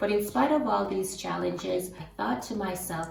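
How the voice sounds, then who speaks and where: With a non-native accent, a woman speaks at a moderate pace in a fairly low pitch, with very wide pitch swings. Room echo is audible, along with noticeable background noise. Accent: foreign. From tropical country. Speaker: immigrant sharing experiences. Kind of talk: testimony.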